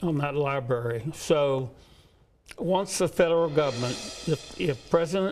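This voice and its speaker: Over music in the background, a man with a fairly high pitch talks at a fairly slow pace with ordinary pitch variation. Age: 70s. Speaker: former mayor. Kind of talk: interview.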